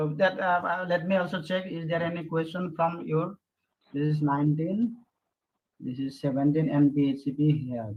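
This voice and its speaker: This man's pitch sits fairly high, with ordinary variation. He speaks at a moderate pace. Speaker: session chair at physics conference. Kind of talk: conference Q&A session.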